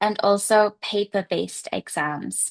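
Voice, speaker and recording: Against a quiet background, a woman at a fairly high pitch speaks at a very slow pace with ordinary pitch variation, the sound dry and close with no echo. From England. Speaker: English teacher. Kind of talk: seminar talk. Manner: hesitant fillers.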